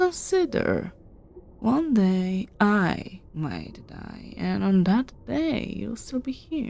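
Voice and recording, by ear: A woman's put-on character voice at medium pitch, slow, with very wide pitch swings, a dark, mellow tone and vocal fry.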